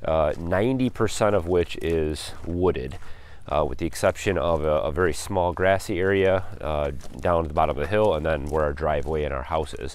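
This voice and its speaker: A man's very deep, low voice at a moderate pace, with ordinary pitch variation and a dry sound with no echo. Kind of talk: tutorial. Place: forest. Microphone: phone near.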